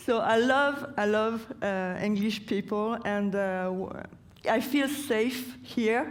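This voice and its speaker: Speaking very slowly with a French accent, a woman uses a fairly high pitch and ordinary pitch variation while audible room echo surrounds her voice. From France, Brittany. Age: 40s. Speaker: lawyer and protester. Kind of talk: public talk. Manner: halting.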